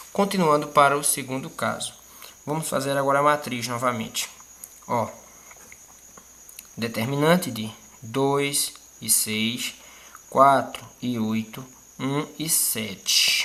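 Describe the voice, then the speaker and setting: A very slow pace broken by long, frequent pauses. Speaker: math teacher. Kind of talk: tutorial.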